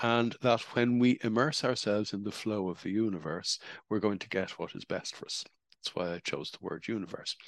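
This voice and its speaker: A man with an Irish accent at a fairly quick pace. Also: medium pitch for a man, ordinary pitch variation, big swings in loudness. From Ireland. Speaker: spiritual speaker. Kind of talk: talk.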